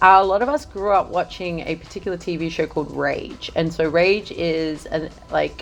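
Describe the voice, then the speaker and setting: This woman has a fairly low pitch and ordinary pitch variation, speaking at a moderate pace with hardly any pauses. Noticeable background noise sits behind her. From Australia, Adelaide. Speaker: music journalist. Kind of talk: casual chat.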